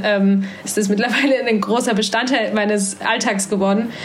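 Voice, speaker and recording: A woman speaks at medium pitch. Audible room echo and noticeable background noise surround her voice. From Saxony-Anhalt, eastern Germany (Halle an der Saale). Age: 20s. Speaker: student and volunteer. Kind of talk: casual interview.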